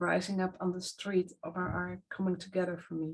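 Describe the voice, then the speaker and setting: In a non-native accent, a woman speaks at a fairly slow pace and a medium pitch, somewhat breathy, with monotone, flat intonation. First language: not English. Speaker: earth activist. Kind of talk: casual chat. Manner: halting.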